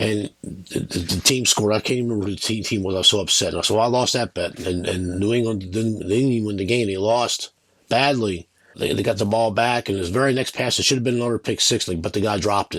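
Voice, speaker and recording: A man speaks at a very fast pace. His fairly low voice keeps a fairly even intonation. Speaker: sports betting video host. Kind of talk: casual monologue. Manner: halting, with many repeated words.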